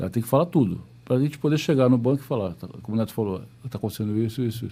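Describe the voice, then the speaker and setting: At a very fast pace, a man speaks with a dark, mellow tone at medium pitch, with ordinary pitch variation and a very clean recording over a silent background. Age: 60s. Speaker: business executive. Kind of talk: podcast interview. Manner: halting, repetitive.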